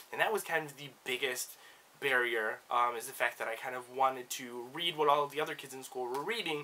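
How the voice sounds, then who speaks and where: Over noticeable background noise, a man speaks at a fairly quick pace with medium pitch and ordinary pitch variation. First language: Spanish. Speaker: book vlogger. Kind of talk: casual personal discussion to camera. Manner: casual with many fillers and hedges.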